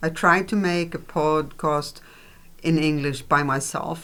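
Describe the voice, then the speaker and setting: Speaking very slowly, a woman with a Swedish accent uses a fairly low pitch. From Sweden. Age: old. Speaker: podcast co-host. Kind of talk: casual chat. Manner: halting.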